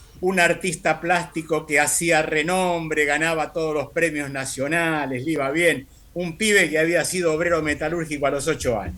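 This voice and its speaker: With a bright, sharp tone and fairly high pitch, a man talks at a moderate pace with fairly even intonation and hardly any pauses. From Argentina. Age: 70s. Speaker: radio guest commentator. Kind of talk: radio interview conversation.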